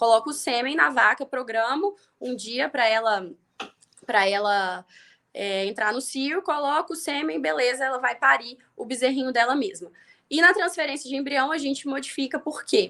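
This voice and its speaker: Raising and projecting her voice, a woman speaks at a high pitch with a bright, sharp tone and lively intonation. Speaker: veterinarian teaching livestock reproduction. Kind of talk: live stream lecture. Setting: live stream. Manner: fast.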